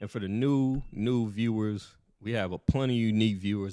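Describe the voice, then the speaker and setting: A man speaks at a fairly quick pace. He has an American accent. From South Carolina. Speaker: podcast co-host. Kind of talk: casual chat. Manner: animated.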